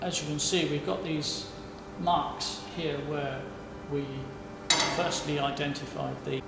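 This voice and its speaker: A man speaks at a fairly slow pace in a room with audible echo. Loud background noise fills the recording. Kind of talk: explanatory walkthrough. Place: workshop.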